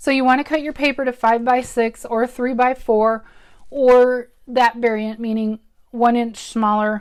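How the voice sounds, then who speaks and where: Fairly even in intonation, a woman speaks at a fairly slow pace in a very clean recording with a silent background. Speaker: craft demonstrator. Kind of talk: live craft tutorial. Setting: livestream video from home. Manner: chatty, halting with many ums.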